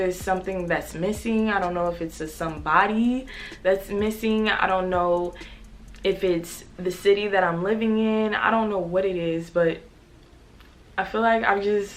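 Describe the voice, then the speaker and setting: There is audible room echo around a woman speaking at medium pitch. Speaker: YouTuber. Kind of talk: personal vlog confession. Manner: fast; energetic, upbeat.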